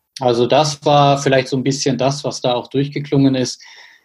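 Speech unfolds at a moderate pace. There is a somewhat breathy quality to the voice. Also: man. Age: 30s. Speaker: mayor. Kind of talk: interview.

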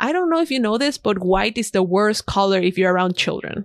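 At a very fast pace, a woman with a fairly high pitch and lively intonation is heard in a dry, close sound with no echo and a very clean recording with a silent background. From Ecuador. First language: Spanish. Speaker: freelance designer and podcaster. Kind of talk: casual interview conversation.

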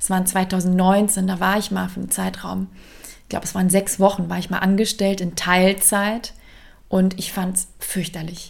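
A woman's medium-pitched voice at a moderate pace, with big swings in loudness. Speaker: career coach. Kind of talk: solo podcast monologue. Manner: conversational, energetic.

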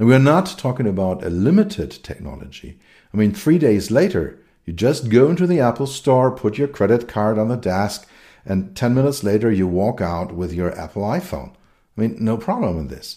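A man with a German accent speaks in a dark, mellow tone, his pitch swinging very widely. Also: medium pitch for a man, moderate pace. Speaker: podcast host and technology consultant. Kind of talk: solo podcast monologue. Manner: hesitant with many fillers.

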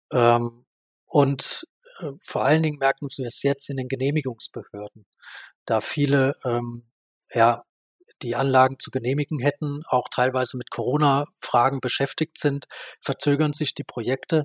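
At a moderate pace and medium pitch, a man speaks with monotone, flat intonation and long, frequent pauses, in a dry, close sound with no echo. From Baden-Württemberg, Germany. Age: 30s. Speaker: renewable energy association director. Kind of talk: interview.

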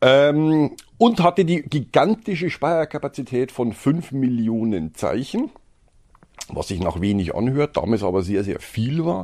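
Against a quiet background, a man with a Bavarian accent speaks fairly slowly at a fairly high pitch, making very wide pitch swings. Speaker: storage product manager. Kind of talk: casual chat.

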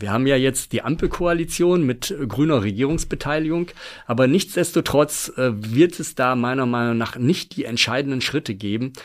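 A man with an unremarkable speaking voice talks at a moderate pace, his pitch medium and his intonation lively. The recording is very clean, with a silent background. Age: 50s. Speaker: former forester, long-distance hiker and author. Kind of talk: casual interview.

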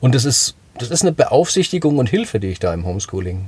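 This man has a dark, mellow tone that is somewhat breathy, and he speaks at a fairly quick pace. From Swabia, Germany (Sachsenheim). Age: 40s. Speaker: singer-songwriter and author. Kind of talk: casual interview chat.

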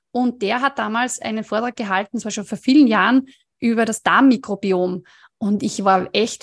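A woman's fairly high voice with a slight Upper Austrian accent, ordinary pitch variation and a moderate pace, dry and close with no echo against a quiet background. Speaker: dietitian, nutrition scientist. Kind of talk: interview.

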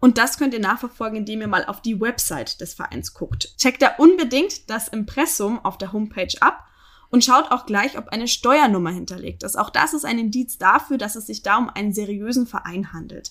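Her voice is an unremarkable speaking voice, fairly high-pitched for a woman, with lively intonation, big swings in loudness and a moderate pace. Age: 20s. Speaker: podcast co-host. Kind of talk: casual chat; news reading.

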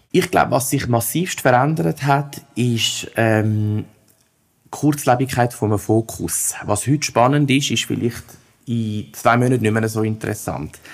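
At a fairly slow pace, a man at medium pitch speaks in an unremarkable speaking voice with ordinary pitch variation. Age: 30s. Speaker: head of recruiting and employer branding. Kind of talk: interview.

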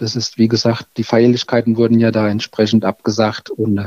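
A man's dark, mellow tone at a moderate pace, with a dry, close sound and no echo. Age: 50s. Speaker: village mayor. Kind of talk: interview. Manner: halting, many fillers.

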